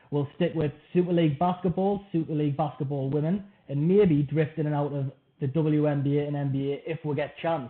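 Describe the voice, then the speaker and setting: The man speaks with a northeast English accent and fairly even intonation. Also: fairly high pitch for a man, fairly quick pace. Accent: north-east England. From north-east England, Washington near Sunderland. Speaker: podcast host. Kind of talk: casual interview chat.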